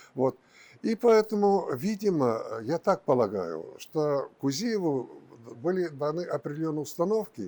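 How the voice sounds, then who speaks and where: A man's fairly high, dark, mellow voice at a fairly slow pace, with very wide pitch swings. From Bashkortostan, Russia. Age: 70s. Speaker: publicist. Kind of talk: interview answer.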